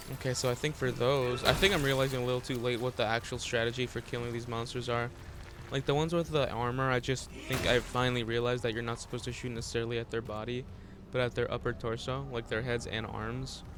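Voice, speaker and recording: A man talks quietly at a very fast pace. His pitch is medium and his intonation fairly even. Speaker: gaming streamer. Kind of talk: let's play commentary.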